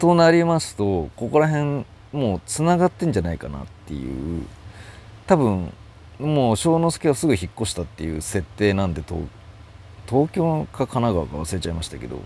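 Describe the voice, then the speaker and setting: A man's dark, mellow voice, fairly low in pitch, at a moderate pace, with very wide pitch swings and big swings in loudness. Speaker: manga commentary youtuber. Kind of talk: casual chat. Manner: halting, many fillers.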